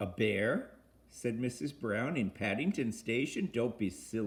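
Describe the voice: The clip is plain reading aloud with lively intonation.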